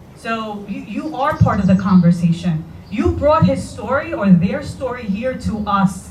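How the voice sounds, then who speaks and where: A woman with a fairly high pitch and very wide pitch swings speaks at a moderate pace amid noticeable background noise and audible room echo. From Puerto Rico. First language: Spanish. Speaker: parent speaking at public forum. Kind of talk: public forum comment.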